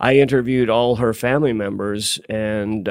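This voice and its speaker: This man speaks with an American accent at a medium pitch, with ordinary pitch variation and an unremarkable speaking voice. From US Pacific Northwest (Tacoma, Seattle). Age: 60s. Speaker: author and writers institute director. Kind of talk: interview.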